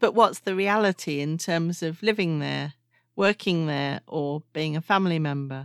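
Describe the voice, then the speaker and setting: A woman speaks at a moderate pace in a fairly low pitch with ordinary pitch variation and a plain, everyday voice, recorded very cleanly against a silent background with a dry, close sound and no echo. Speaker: podcast host. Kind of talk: casual interview chat.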